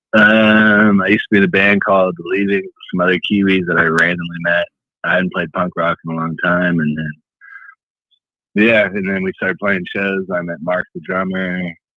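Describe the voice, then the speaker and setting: A man with an American accent speaks at a moderate pace in a very deep, low pitch and a monotone, flat intonation. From US Midwest, Chicago. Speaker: punk rock musician. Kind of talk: radio interview.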